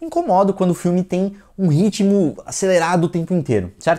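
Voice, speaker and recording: In a quiet background, a man with a high pitch talks at a fairly quick pace. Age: 30s. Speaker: film critic. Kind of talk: film review monologue. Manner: hesitant, with repeated words. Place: studio. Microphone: lapel.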